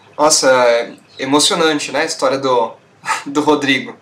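A man talks at a fairly slow pace in a monotone, flat intonation, with noticeable background noise. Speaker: podcast host. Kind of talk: casual chat.

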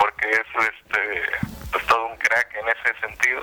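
A man at medium pitch speaks at a fairly slow pace with a bright, sharp tone. The sound is dry and close, with no echo. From Puerto Vallarta area, Mexico. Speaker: YouTube content creator, dubbing enthusiast. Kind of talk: radio interview.

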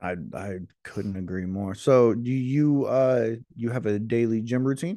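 Speaking at a fairly slow pace, a man has a dark, mellow tone and ordinary pitch variation. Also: medium pitch for a man. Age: 30s. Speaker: podcast guest. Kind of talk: casual chat.

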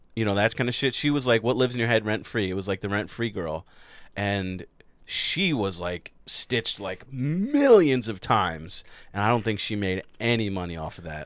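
Speaking at a moderate pace, a man has a fairly low pitch and an unremarkable speaking voice. The recording is very clean and the background silent. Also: ordinary pitch variation. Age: 30s. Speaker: podcast host. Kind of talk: casual chat.

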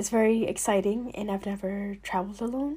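With a dark, mellow tone, a woman talks in a somewhat breathy voice. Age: young. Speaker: podcast host. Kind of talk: solo monologue.

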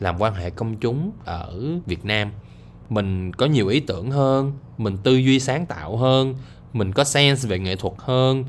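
Lively intonation marks this man's speech. He talks at a fairly slow pace with a medium pitch. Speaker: podcaster. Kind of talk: casual monologue. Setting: lying in bed.

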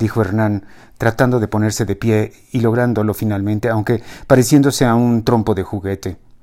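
Fairly even intonation in plain reading aloud

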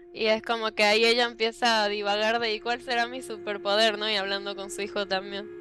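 Over noticeable background noise, a woman with a Rioplatense accent talks fairly quickly at medium pitch with ordinary pitch variation and hardly any pauses. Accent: Argentine Spanish (rioplatense). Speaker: book content creator. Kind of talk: casual chat.

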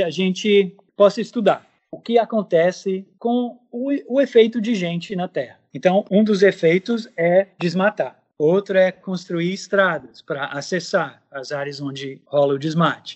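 In an English accent, a man with a high pitch and lively intonation talks at a fairly slow pace, his loudness swinging widely. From United States. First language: English (speaking Portuguese). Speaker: ornithologist. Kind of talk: radio interview. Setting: remote recording.

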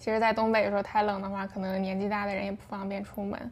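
A woman at medium pitch with monotone, flat intonation. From Shenyang, northeast China. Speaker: guest. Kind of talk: casual chat. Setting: remote recording.

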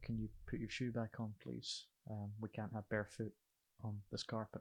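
In a Scottish accent, a man talks in a flat monotone at a fairly low pitch, the very clean recording dry and close with no echo and a silent background. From Scotland. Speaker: lighting technician and radio presenter. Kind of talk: casual chat.

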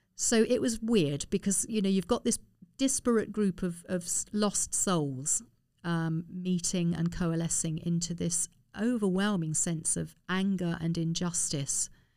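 With a southern English accent, a woman talks at a fairly slow pace and a fairly low pitch, her tone dark and mellow and her pitch variation ordinary, in a very clean recording with a silent background. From London (Harrow). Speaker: former army nurse and campaigner. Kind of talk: interview.

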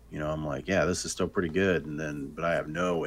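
With vocal fry, a man speaks at a very deep, low pitch and with fairly even intonation. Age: 30s. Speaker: podcast co-host, gamer. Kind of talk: casual chat.

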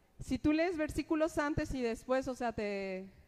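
Here is a woman with an ordinary speaking voice. Her pitch moves in an ordinary way. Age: 30s. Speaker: preacher. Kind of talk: sermon.

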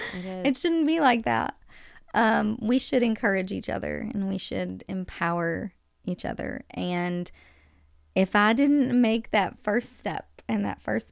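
On a very clean recording with a silent background, the speaker talks at a fairly slow pace. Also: woman. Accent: Kentucky. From US South, western Kentucky. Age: 30s. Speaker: nurse turned healthy living coach. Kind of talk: casual interview. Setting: studio.

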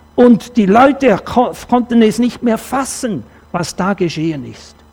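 A man at a very slow pace, ordinary pitch variation, and noticeable background noise. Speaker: preacher. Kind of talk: sermon in church, with a personal anecdote and a closing prayer. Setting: church. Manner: earnest, conversational, animated when telling stories.

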